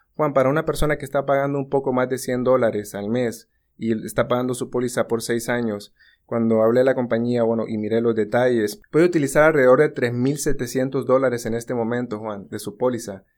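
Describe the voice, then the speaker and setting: A man with an unremarkable speaking voice talks at a fairly quick pace, with medium pitch and fairly even intonation, on a very clean recording with a silent background. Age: 30s. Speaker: insurance agent. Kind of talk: casual chat.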